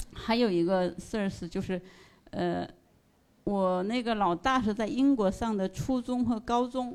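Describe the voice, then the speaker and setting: A woman speaks in a normal speaking voice at a fairly high pitch with ordinary pitch variation, recorded very cleanly against a silent background. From northeast China, ethnic Korean. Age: 50s. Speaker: listener sharing at a fan meetup. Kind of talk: presentation to live audience. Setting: stage with audience.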